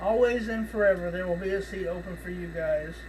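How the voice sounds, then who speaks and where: A man with an American accent, plus noticeable background noise and audible room echo. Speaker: horror podcast host. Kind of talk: casual chat. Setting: video call. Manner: halting, many fillers; folksy.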